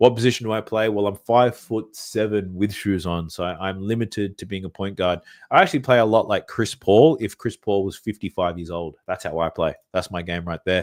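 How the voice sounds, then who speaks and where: At a fairly quick pace and with hardly any pauses, a speaker with an Australian accent comes through a dry, close sound with no echo on a very clean recording with a silent background. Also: man, fairly low pitch for a man, ordinary pitch variation. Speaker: sports betting content creator. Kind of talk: livestream Q&A. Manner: deep breaths between sentences.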